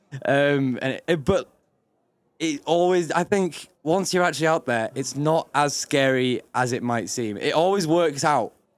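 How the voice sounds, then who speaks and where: A man with a strong northern English accent, fairly high in pitch and fairly slow, on a very clean recording with a silent background. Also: ordinary pitch variation. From Yorkshire, northern England. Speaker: actor. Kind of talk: casual interview. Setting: live event recording.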